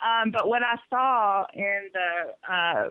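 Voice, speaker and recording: A woman speaks with a Southern US accent. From US South. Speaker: caller sharing experience with pediatric practice. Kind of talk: radio call-in talk.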